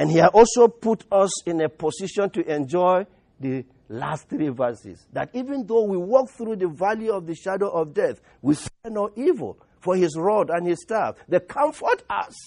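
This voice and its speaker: Speaking with a Nigerian accent at a moderate pace, a man with a high pitch and a dark, mellow tone uses lively intonation, the sound dry and close with no echo against a quiet background. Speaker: pastor. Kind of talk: sermon. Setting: church.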